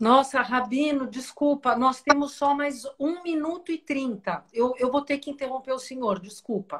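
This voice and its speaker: High-pitched woman's speech at a fairly slow pace, ordinary pitch variation and hardly any pauses. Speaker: spiritual wellness live host. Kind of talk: live stream wrap-up announcements. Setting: live video stream.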